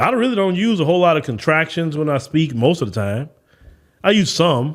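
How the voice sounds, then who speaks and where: With an American accent, a man talks at a fairly quick pace in a fairly high pitch. His tone is animated, with very wide pitch swings. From US South. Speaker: podcast host. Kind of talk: opinion commentary.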